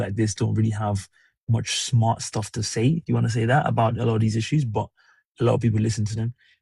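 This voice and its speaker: A man with a British accent, medium-pitched and somewhat breathy, talking at a very fast pace in fairly even intonation, on a very clean recording with a silent background and a dry, close sound with no echo. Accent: British accent (own remark). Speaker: livestreamer, commentary host. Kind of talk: casual livestream monologue, opinion commentary. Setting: solo livestream at home. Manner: conversational, hesitant with fillers.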